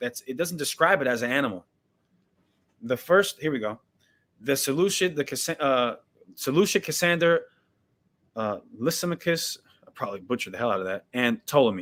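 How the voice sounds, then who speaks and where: The voice carries vocal fry. Its pitch swings very wide. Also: man. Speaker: Bible teacher, online preacher. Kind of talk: live-streamed Bible teaching.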